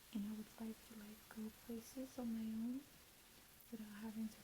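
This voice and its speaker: Soft-spoken, somewhat breathy whispering from a woman. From Jamaica. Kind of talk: ASMR chit chat, reintroduction. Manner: soft whispered.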